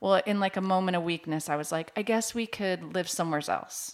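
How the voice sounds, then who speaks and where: A woman with an American accent talks in a normal speaking voice at a fairly low pitch, on a very clean recording with a silent background. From Washington State, near Seattle. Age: 40s. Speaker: mortgage loan officer. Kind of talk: casual interview.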